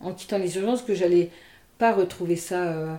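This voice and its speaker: The voice belongs to a woman at a medium pitch. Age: 50s. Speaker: nurse and energy healer. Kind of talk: interview conversation. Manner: hesitant, many fillers.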